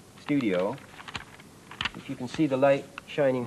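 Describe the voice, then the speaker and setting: A man at a moderate pace, over noticeable background noise. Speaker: presenter. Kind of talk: tutorial. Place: studio.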